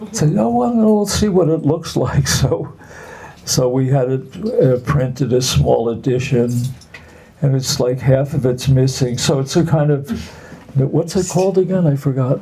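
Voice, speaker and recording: The pace is moderate, and the pitch varies in an ordinary way. Behind the voice there is noticeable background noise. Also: man, fairly high pitch for a man. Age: 80s+. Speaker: artist. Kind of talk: casual chat. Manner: halting.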